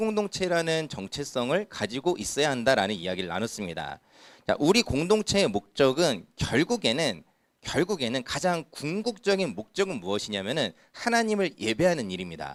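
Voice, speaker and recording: This man speaks at a moderate pace in a medium pitch with vocal fry and very wide pitch swings, on a very clean recording with a silent background. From Incheon, South Korea. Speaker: youth pastor. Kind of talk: sermon. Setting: church youth service. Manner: conversational, frequent rhetorical questions.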